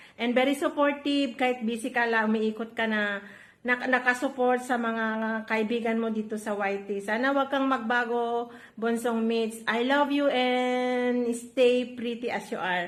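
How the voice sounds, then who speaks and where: Speaking fairly slowly, a woman holds a high pitch with fairly even intonation. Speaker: vlogger. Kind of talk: birthday greeting.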